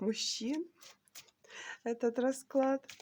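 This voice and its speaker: A woman speaks at a very slow pace. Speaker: tarot reader. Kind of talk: tarot reading video. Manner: hesitant fillers.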